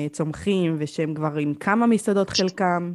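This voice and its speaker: This woman has a plain, everyday voice with a fairly low pitch. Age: 20s. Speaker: podcast host. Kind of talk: interview. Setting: video call.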